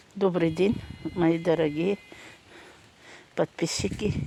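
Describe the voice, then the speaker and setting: A woman speaks with a Tatar accent. Her tone is dark and mellow, and her pace is very slow. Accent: Tatar accent in Russian. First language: Tatar (speaking Russian). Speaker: gardening vlogger. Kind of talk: casual vlog.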